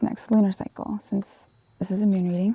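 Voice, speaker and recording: Soft-spoken, the voice moves along at a fairly quick pace. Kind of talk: tarot reading. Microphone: poor sound quality.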